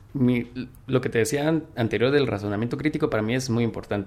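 Here is a man with an unremarkable speaking voice, talking at a fairly quick pace at a medium pitch with ordinary pitch variation. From Guatemala, Quetzaltenango (Xela). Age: 20s. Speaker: software engineer, recent graduate. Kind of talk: interview.

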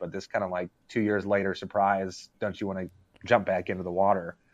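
A fairly low-pitched man with an ordinary speaking voice at a fairly quick pace against a quiet background. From Arkansas, US South. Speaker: gaming writer. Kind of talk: casual chat. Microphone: unstable connection.

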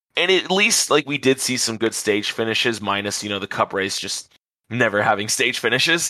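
A man's bright, sharp, medium-pitched voice, lively in intonation and fairly quick in pace. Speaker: motorsport podcast host. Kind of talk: casual chat. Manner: fast.

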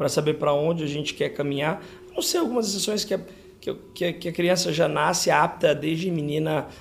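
A man talks in a normal speaking voice at a fairly high pitch. His pace is fairly quick, with ordinary pitch variation. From São José do Rio Preto, interior of São Paulo, Brazil. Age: 30s. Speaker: dermatologist. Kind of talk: interview.

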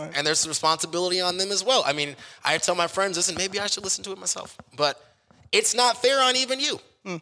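A man's high, raised, projected voice in an American accent, very fast, animated and lively in intonation, with a bright, sharp tone. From Kansas City, US Midwest. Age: 30s. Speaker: stadium host and radio personality. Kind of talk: casual chat. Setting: event center venue.

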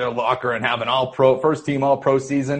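This man has an American accent and a somewhat breathy voice. His pitch sits in the medium range. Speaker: sports writer. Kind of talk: casual chat.

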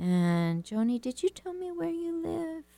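The voice has a dark, mellow tone and very wide pitch swings, moving at a fairly slow pace in a dry, close sound with no echo. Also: woman. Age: 50s. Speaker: radio host and writing coach. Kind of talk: talk radio monologue with listener questions. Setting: radio studio.

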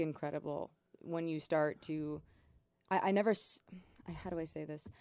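A soft-spoken woman talks at a moderate pace with a fairly low pitch and ordinary pitch variation. Her tone is dark and mellow. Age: 20s. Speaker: singer-songwriter and photographer. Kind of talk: casual chat. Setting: studio.

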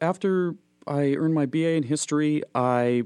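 Ordinary pitch variation from a man with an American accent. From Minnesota; Fargo-Moorhead, Minnesota. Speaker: animator and illustrator. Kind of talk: casual interview conversation.

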